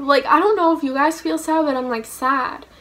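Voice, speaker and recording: A woman speaks at a fairly slow pace with an animated tone and ordinary pitch variation. Noticeable background noise is present. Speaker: vlogger. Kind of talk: casual chat.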